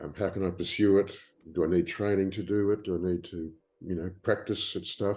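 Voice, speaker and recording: In an Australian accent, a man with a very deep, low pitch and a dark, mellow tone speaks at a moderate pace in a flat monotone, with a quiet background. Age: 70s. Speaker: writer and publisher. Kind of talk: interview. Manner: hesitant, many fillers.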